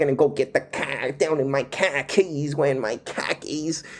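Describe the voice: Putting on a character voice in a Boston accent, a man talks at a moderate pace with fairly even intonation. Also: fairly high pitch for a man.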